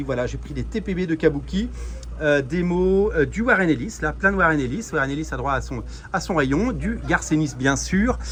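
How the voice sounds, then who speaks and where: Noticeable background noise around a man talking at a moderate pace. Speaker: comics youtuber. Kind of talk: vlog shop tour. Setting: in a comic shop. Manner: animated; hesitant with many fillers.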